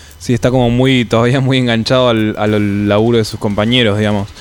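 At a fairly quick pace, a man with an Argentine accent speaks at medium pitch with ordinary pitch variation over noticeable background noise. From Neuquén, Argentina. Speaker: metal singer. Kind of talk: casual interview chat. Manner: halting, with repetitions.

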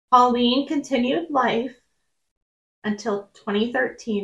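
A woman speaks at a very slow pace in a somewhat breathy voice, with ordinary pitch variation. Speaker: podcast co-host. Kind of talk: casual chat with storytelling and reading letters.

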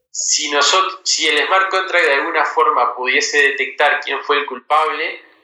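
The intonation here is fairly even. A man speaks at a fairly slow pace. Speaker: tech company CEO and university lecturer. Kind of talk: interview. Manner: halting, frequent repetitions.

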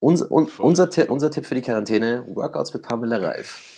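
A man talks at a moderate pace with a medium pitch. He has a plain, everyday voice and lively intonation. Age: 20s. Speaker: podcast co-host, fashion PR worker. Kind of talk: casual chat.

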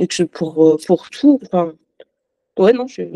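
A woman with a fairly low pitch and a dark, mellow tone speaks at a fairly slow pace, the sound dry and close with no echo. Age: 20s. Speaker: accountant sharing personal medical story. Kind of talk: testimony. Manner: halting.

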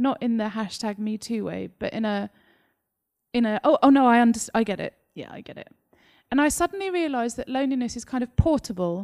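The sound is dry and close, with no echo. A woman with a fairly high pitch talks at a fairly quick pace, with lively intonation and big swings in loudness. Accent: slight Essex. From England, Essex. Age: 30s. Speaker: novelist. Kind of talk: author interview on stage. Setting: live event with audience. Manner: gregarious, talkative, laughs often.

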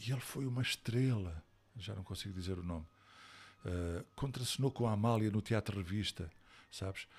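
Somewhat breathy and fairly low-pitched, a man speaks at a moderate pace with ordinary pitch variation and long, frequent pauses on a very clean recording with a silent background. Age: 60s. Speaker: actor and stage director. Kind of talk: interview.

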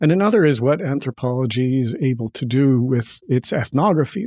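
At a moderate pace, a dark, mellow tone with ordinary pitch variation comes through a dry, close sound with no echo on a very clean recording with a silent background. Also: man. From Canada. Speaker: professor and novelist. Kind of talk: interview.

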